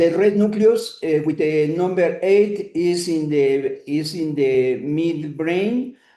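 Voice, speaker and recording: With a Spanish accent, a man speaks at a very slow pace in a fairly high voice. His tone is dark and mellow, with ordinary pitch variation. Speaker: neurosurgeon lecturer. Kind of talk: lecture. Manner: halting, many hesitations.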